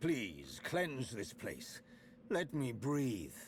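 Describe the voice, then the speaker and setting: Using a put-on character voice at a medium pitch, a man speaks over clear background noise. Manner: gasping, pleading.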